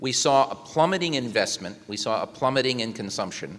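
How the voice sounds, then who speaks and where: A man talks at a fairly quick pace with lively intonation. Noticeable background noise runs under his voice. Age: 60s. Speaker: economics professor. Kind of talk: panel discussion.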